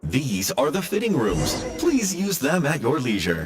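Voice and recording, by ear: A put-on character voice moves at a fairly slow pace with very wide pitch swings and a slightly husky edge. Faint music plays in the background. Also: man, medium pitch for a man.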